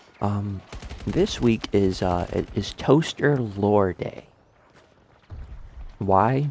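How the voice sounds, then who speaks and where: Against noticeable background noise, a man speaks at a fairly low pitch and a very slow pace, with ordinary pitch variation and long, frequent pauses. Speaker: gaming YouTuber. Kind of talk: casual monologue over gameplay. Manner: halting, many fillers.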